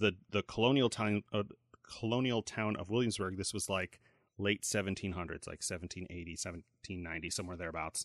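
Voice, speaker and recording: Against a quiet background, a man has a normal speaking voice with fairly low pitch and ordinary pitch variation. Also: dry, close sound with no echo. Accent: American. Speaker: podcast host. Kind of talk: casual chat.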